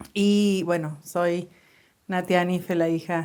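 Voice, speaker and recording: A woman speaks at a very slow pace in a Cordoban Argentine accent. Her pitch sits in the medium range. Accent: Cordoban Argentine Spanish, sing-song. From Córdoba, Argentina. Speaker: church podcast co-host. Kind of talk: casual chat.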